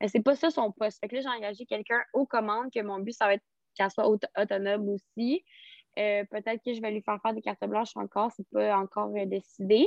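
Her intonation is fairly even. The woman talks at a fairly quick pace. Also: fairly high pitch for a woman. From Quebec, Rimouski. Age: 20s. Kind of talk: casual interview. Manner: hesitant, many fillers.

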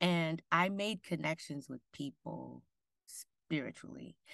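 Very slowly and at a very deep, low pitch, a woman speaks with an American accent, the sound dry and close with no echo against a quiet background. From Michigan, US Midwest. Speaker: actor and writer. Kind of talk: interview.

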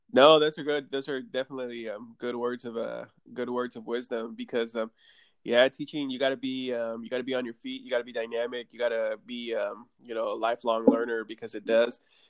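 A man speaks at a fairly quick pace in a monotone, flat intonation over a quiet background. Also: medium pitch for a man. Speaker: podcast host. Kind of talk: casual interview chat. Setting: remote recording via app.

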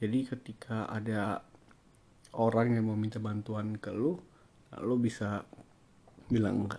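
A man's fairly low, dark and mellow voice, monotone and flat, with big swings in loudness. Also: fairly slow pace. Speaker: podcaster. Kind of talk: casual solo monologue. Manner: hesitant, many fillers.

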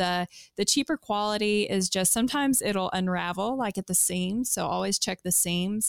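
A woman speaks at a moderate pace in a Kentucky accent, her medium-pitched voice showing ordinary pitch variation, recorded very cleanly against a silent background with a dry, close sound and no echo. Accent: Southern US (Kentucky). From US South, South Central Kentucky. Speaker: secondhand clothing seller. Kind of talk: casual interview.

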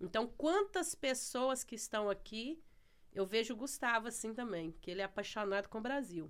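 Using a normal speaking voice, a woman talks at a moderate pace with lively intonation. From Brazil, Ceará. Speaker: church member. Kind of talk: casual chat. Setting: studio.

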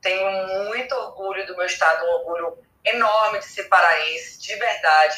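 A woman at a medium pitch speaks in a normal speaking voice at a moderate pace, with ordinary pitch variation and big swings in loudness. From Pará, Brazil. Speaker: journalist and travel creator. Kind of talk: casual chat.

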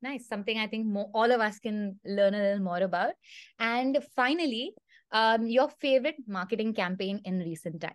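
Against a quiet background, a woman in a normal speaking voice talks at a moderate pace and fairly high pitch with ordinary pitch variation. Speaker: podcast host. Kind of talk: moderated interview. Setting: video call.

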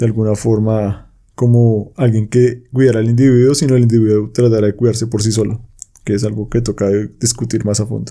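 At a fairly quick pace, a man speaks at a medium pitch with a dark, mellow tone and monotone, flat intonation. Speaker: podcast co-host discussing philosophy books. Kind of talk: casual discussion.

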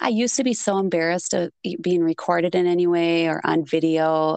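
A woman with a strong Minnesotan accent speaks at a moderate pace in a fairly low pitch, her clear, smooth, slightly mellow tone showing vocal fry over fairly even intonation, in a dry, close sound with no echo. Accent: thick Minnesotan.

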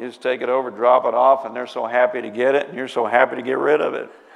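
Very fast, monotone speech from a man at medium pitch, flat in intonation, with audible room echo and noticeable background noise. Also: hardly any pauses, big swings in loudness. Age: 50s. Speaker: pastor. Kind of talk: sermon.

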